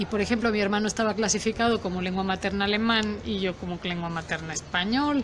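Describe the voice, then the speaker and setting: Her pitch is fairly high, and a woman's voice shows ordinary pitch variation. Noticeable background noise runs underneath. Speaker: university professor. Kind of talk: casual interview conversation. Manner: halting, with many fillers.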